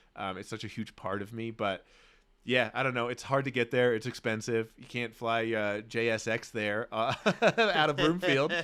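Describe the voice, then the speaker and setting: In a very clean recording with a silent background, a man with an American accent speaks at a moderate pace in a bright, sharp, animated tone with ordinary pitch variation. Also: medium pitch for a man, big swings in loudness. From Australia. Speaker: podcast co-host. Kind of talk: casual chat.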